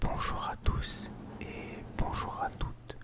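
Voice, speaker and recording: A man whispers very slowly while noticeable background noise continues. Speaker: ASMR creator and volunteer football coach. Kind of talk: casual talk to camera, self-introduction.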